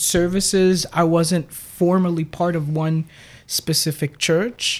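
A woman with an American accent has an ordinary speaking voice, fairly low in pitch, and speaks fairly slowly with fairly even intonation. The recording is very clean, with a silent background. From New York, Brooklyn. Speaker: pastor and psychotherapist. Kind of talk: casual chat.

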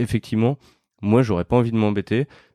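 The recording is very clean, with a silent background. A man with a dark, mellow tone talks at a fairly quick pace. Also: dry, close sound with no echo. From France, Lyon. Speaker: podcast host, entrepreneur. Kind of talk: casual interview. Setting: startup campus.

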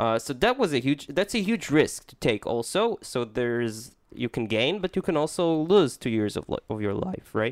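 A man with a fairly high pitch speaks at a moderate pace in a playful tone, with very wide pitch swings and big swings in loudness. The sound is dry and close with no echo. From Israel. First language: Hebrew. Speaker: podcast co-host. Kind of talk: casual chat. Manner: playful, jokey.

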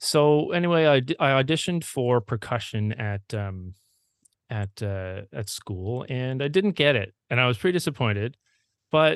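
The speaker has a Maritime Canadian accent and lively intonation at a moderate pace. The sound is dry and close with no echo, against a quiet background. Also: man, medium pitch for a man. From Prince Edward Island, Canada. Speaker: music teacher and author. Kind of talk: casual interview conversation.

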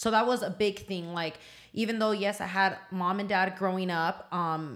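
A woman with an American accent speaks in a normal speaking voice at medium pitch. Her pace is fairly quick. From Southern California, Oxnard. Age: 30s. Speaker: small business owner. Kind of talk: casual chat. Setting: studio.

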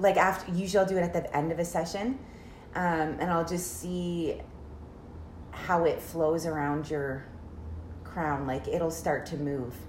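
In a room with audible echo, a woman with a fairly low pitch and a somewhat breathy voice speaks at a fairly slow pace, showing ordinary pitch variation and long, frequent pauses. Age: 30s. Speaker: reiki practitioner. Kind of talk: casual chat.

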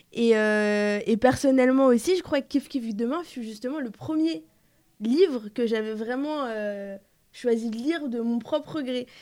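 In a very clean recording with a silent background, a woman with a high voice and a dark, mellow tone speaks at a fairly slow pace, her pitch varying in an ordinary way. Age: 20s. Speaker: interviewer. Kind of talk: interview.

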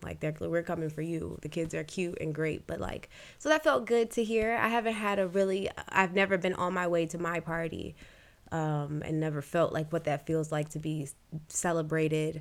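An unremarkable speaking voice from a woman, fairly low in pitch, with ordinary pitch variation and a moderate pace. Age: 20s. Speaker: podcast host, mother. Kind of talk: casual chat. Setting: studio.

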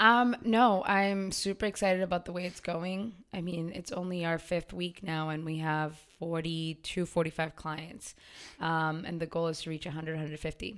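Speaking in a plain, everyday voice with an American accent, a woman talks at a moderate pace and fairly low pitch with ordinary pitch variation, in a very clean recording with a silent background. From Waltham, Massachusetts. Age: 20s. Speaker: gym owner and fitness trainer. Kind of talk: casual interview.

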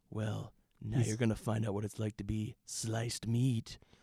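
A man puts on a gruff character voice at medium pitch. He keeps a moderate pace. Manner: grimly serious, menacing.

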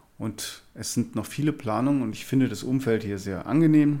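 The recording is very clean, with a silent background. A man speaks at a moderate pace with fairly even intonation. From Rhineland-Palatinate, Linz am Rhein. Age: 40s. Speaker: cardiologist, senior doctor. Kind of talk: interview. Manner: halting.

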